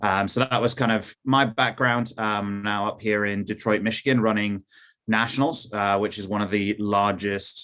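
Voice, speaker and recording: In a very clean recording with a silent background, a man with an American accent talks at a moderate pace in a fairly low pitch, his intonation monotone and flat. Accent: little trace of Newcastle accent left. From Newcastle, England, then Cincinnati, US from teens. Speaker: youth football academy director. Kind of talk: presentation. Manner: hesitant, many fillers.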